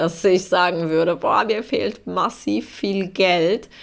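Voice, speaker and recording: Very slowly, a woman speaks on a very clean recording with a silent background. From Poland. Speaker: podcast host. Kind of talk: casual solo monologue.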